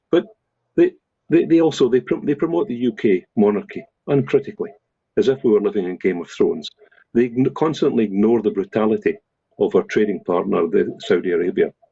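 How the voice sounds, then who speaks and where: Speaking at a fairly quick pace, a man talks in a Scottish accent. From Scotland. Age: 70s. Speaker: professor. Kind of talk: current affairs discussion. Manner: halting, many repetitions.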